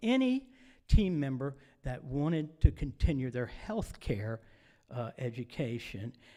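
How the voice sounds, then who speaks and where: Dark, mellow tone from a man at a fairly slow pace, on a very clean recording with a silent background. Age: 70s. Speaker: retirement community staff member. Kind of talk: town hall announcements. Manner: casual, folksy.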